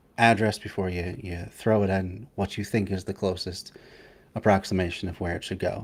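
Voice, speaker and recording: Speaking at a fairly quick pace, a man with a fairly low pitch keeps his intonation fairly even on a very clean recording with a silent background. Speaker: streamer reacting to a video. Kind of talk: casual chat. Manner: fast, rushed with many fillers.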